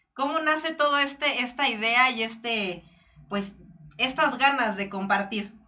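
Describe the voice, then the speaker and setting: With a Mexican accent, a woman talks at a fairly slow pace in a high pitch, using a bright, sharp tone and ordinary pitch variation. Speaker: online show host. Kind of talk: interview; announcements.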